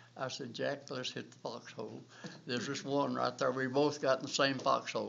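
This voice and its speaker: A man speaks at a moderate pace with a medium pitch and a north Georgia accent. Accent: Southern US, north Georgia. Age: 80s+. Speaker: war veteran. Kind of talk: oral history interview. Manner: halting.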